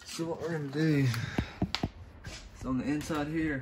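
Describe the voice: With audible room echo, a man speaks at a moderate pace in a fairly high, slightly mellow voice with fairly even intonation.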